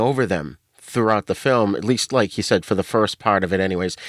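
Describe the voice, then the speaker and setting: A man's voice with a New England accent, in a dry, close sound with no echo. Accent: New England, non-rhotic. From Boston, New England. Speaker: podcast guest, podcaster. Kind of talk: casual chat.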